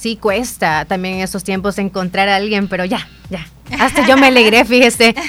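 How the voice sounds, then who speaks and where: A woman with ordinary pitch variation, music in the background. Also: medium pitch for a woman, moderate pace. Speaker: radio host. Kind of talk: news reading; casual chat.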